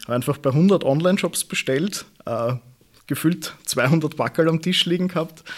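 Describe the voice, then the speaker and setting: A man's fairly high-pitched voice with ordinary pitch variation, an unremarkable speaking voice. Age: 20s. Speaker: e-commerce consultant. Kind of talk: interview.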